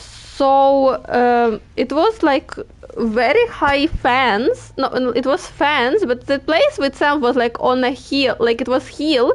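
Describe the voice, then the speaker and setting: A woman's high voice with a Ukrainian accent, very slow and very even in loudness. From Ukraine. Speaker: gaming streamer. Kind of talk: casual chat. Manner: halting.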